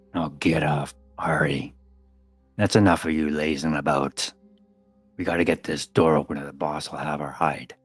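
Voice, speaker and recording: A man puts on a gruff character voice with a very deep, low pitch. He speaks at a moderate pace with long, frequent pauses while faint music plays in the background. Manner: impatient, bossing others.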